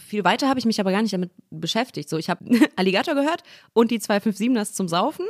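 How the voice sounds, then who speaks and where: Recorded in a dry, close sound with no echo, a woman speaks at a fairly quick pace with ordinary pitch variation. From Ruhr area, Essen. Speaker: rapper and voice actor. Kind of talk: casual chat. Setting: studio, at a living-room table.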